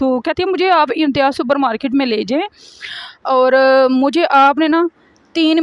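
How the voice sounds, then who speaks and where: A woman speaks at a high pitch with a Punjabi accent. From Pakistan, Punjab. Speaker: vlogger. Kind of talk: casual vlog talk.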